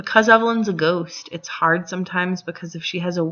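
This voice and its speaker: A woman with a fairly low pitch talks at a fairly quick pace, using ordinary pitch variation. Noticeable background noise sits behind her. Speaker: gaming tutorial creator. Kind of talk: tutorial. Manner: fast; casual, chatty.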